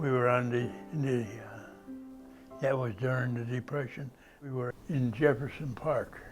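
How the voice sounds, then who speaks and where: A man with an American accent, medium pitch and long, frequent pauses, music in the background. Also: fairly even intonation, fairly slow pace. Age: 80s+. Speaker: war veteran. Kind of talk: interview answer. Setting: library.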